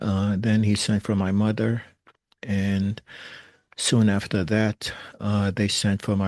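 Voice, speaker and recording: In a New York accent, a man with a fairly low voice speaks at a fairly slow pace, his loudness very even and his intonation monotone and flat, over a quiet background. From New York, Brooklyn. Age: 60s. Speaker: recovering alcoholic sharing story. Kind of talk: personal testimony. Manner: hesitant, many fillers.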